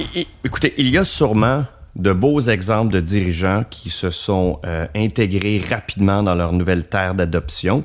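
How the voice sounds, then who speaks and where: The man's voice sits at a fairly low pitch, moving at a fairly slow pace with ordinary pitch variation. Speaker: business consultant. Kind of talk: interview. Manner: halting, many fillers.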